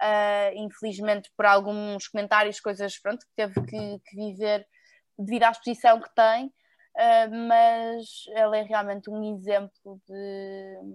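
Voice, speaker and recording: This woman's medium-pitched voice moves at a very slow pace with monotone, flat intonation. Her loudness swings widely. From Porto, northern Portugal. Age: 20s. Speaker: fashion model. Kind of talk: casual interview.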